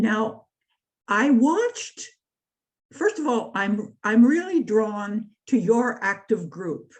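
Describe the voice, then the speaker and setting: A woman speaks at a very slow pace with lively intonation. Her fairly high voice is somewhat breathy. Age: 80s+. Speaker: activist and writer. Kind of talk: talk. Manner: halting.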